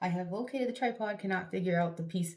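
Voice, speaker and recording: Audible room echo surrounds a woman speaking at a very fast pace. Her voice is fairly low and somewhat breathy, with ordinary pitch variation. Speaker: vlogger. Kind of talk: casual chat. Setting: bathroom. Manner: whispering at first; chatty, rambling filler words.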